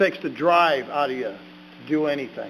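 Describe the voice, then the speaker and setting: Over noticeable background noise, a man with an American accent speaks at a fairly high pitch and a moderate pace with fairly even intonation. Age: 60s. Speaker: ordained minister, recovering addict giving testimony. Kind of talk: testimony at a public meeting. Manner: halting, with fillers and repeats.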